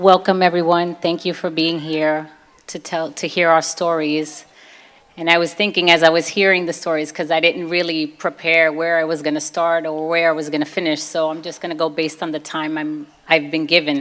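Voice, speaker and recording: In a Brooklyn accent, a woman with a fairly low pitch speaks at a moderate pace with monotone, flat intonation. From US, Brooklyn, New York. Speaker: convert telling her faith story. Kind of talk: testimony.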